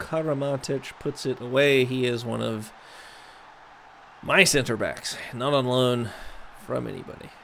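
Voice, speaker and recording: At a fairly slow pace, a man with a medium-pitched voice speaks in an animated tone. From US South, raised in US North. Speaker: gaming streamer. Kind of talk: gameplay commentary. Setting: live stream.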